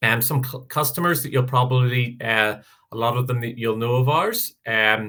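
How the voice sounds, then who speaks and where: A man's bright, sharp tone at a moderate pace, fairly even in intonation, against a quiet background. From Northern Ireland. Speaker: software sales presenter; presenter. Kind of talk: product presentation webinar. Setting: video call webinar. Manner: hesitant, many fillers. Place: home room. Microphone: headset.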